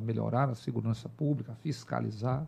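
A man's voice with a dark, mellow tone. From Brazil, Teresina, Piauí. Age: 40s. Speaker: military police officer and politician. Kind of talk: interview.

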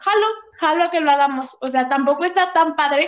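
Her pitch is extremely high, her tone bright and sharp. This woman speaks in a Mexican accent with lively intonation. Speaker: podcast co-host. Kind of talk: casual chat.

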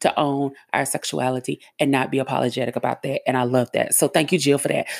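A woman's very fast, animated talk with vocal fry, the sound dry and close with no echo. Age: 40s. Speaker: podcast host. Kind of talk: casual solo podcast monologue.

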